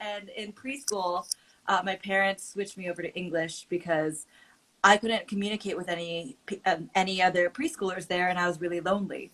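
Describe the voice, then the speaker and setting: A woman's medium-pitched voice with a Californian accent, fairly quick and fairly even in intonation. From California, Oakland. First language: Mandarin. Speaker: creator and advocate. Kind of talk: casual chat.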